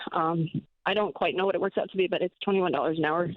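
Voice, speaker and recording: A woman talking at a very fast pace with ordinary pitch variation. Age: 30s. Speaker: caller. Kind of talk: call-in advice conversation. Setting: phone call, outdoors. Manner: hesitant.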